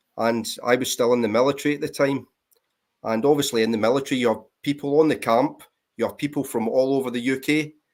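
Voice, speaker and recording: A man with a Scottish accent talks very fast at a medium pitch, his intonation fairly even, on a very clean recording with a silent background. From Scotland, Greenock near Glasgow. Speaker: military veteran and vinyl collector. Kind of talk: casual chat.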